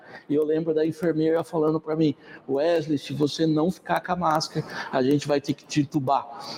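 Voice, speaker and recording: In a dry, close sound with no echo, a man with fairly high pitch talks at a fairly quick pace in a monotone, flat intonation. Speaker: evangelist. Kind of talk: sermon. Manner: casual, hesitant with fillers.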